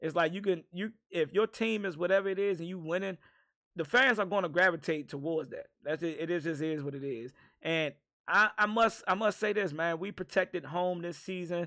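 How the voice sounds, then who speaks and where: Recorded very cleanly against a silent background, a man talks at a fairly quick pace with a high pitch, ordinary pitch variation and a bright, sharp tone. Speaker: sports fan commentator. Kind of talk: postgame fan reaction. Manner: halting, filler-heavy.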